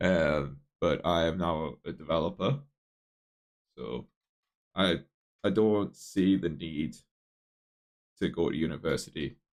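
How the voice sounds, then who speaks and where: Speaking at a fairly slow pace, a man uses a very deep, low pitch with vocal fry. His pitch varies in an ordinary way, and his pauses are long and frequent. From northeast England, near Newcastle. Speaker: software developer streaming live coding. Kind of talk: casual live stream chat. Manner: casual, many fillers and restarts.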